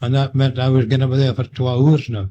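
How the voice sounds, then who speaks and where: A man with a Scottish accent speaks in a dark, mellow, somewhat breathy tone at a fairly high pitch. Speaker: war veteran; lifeboat coxswain. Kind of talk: oral history recollection. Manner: hesitant, conversational.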